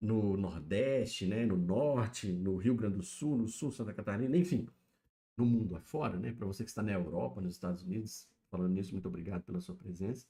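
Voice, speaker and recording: Fairly quick, lively speech from a man, fairly low-pitched, somewhat breathy, with a dark, mellow tone. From Brazil, interior of Minas Gerais. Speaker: YouTube livestreamer, pop-culture commentator. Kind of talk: casual livestream chat. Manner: casual, filler-heavy.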